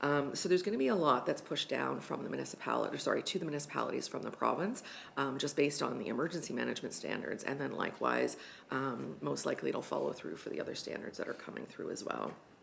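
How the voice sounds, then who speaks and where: Audible room echo is present as a woman speaks. Her pace is very fast. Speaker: regional emergency management coordinator. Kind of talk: staff report to council. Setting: council meeting. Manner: many filler ums.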